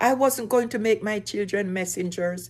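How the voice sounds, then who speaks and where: A woman with an unremarkable speaking voice talks at a fairly slow pace with a fairly high pitch and lively intonation on a very clean recording with a silent background. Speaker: single mother. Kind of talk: personal story talk to camera.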